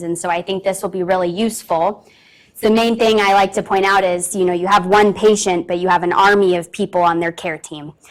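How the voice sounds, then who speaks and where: Fairly quick, fairly even speech from a woman at a medium pitch. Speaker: registered dietitian, conference speaker. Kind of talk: presentation. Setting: conference room with audience, also on Zoom. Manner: loud.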